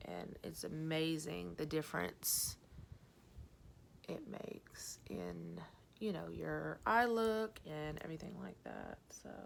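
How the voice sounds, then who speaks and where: A soft-spoken woman talks at a very slow pace. Her loudness swings widely. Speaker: vlogger. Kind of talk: casual chat. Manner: hesitant, many fillers.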